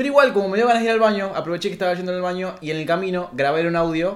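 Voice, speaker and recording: A man speaks at a very fast pace in a high voice, with an animated tone, lively intonation and audible room echo. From Argentina, Rafaela (Santa Fe). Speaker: podcast co-host. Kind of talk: casual chat.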